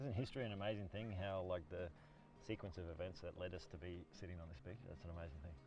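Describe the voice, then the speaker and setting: Very deep and low, a man's voice comes at a very fast pace with an Australian accent and ordinary pitch variation. Audible room echo surrounds it. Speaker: park ranger and guide. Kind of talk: casual interview. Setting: outdoors on a lake beach.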